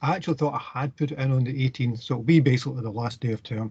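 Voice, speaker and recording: Somewhat breathy, with a Scottish accent, the speaker goes at a very fast pace in a fairly even intonation. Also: man. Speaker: university lecturer. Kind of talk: lecture.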